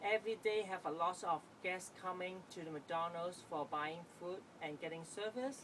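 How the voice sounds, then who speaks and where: A woman speaks with a Chinese accent. Her pitch is fairly low. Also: ordinary pitch variation, moderate pace. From Hong Kong. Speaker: student. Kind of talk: class presentation. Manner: halting.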